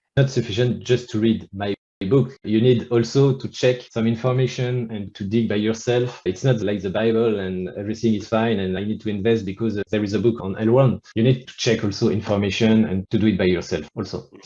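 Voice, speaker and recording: With a French accent, a man speaks at a medium pitch in a dark, mellow tone. His pace is fairly quick, with hardly any pauses and fairly even intonation. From France. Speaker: author. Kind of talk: interview.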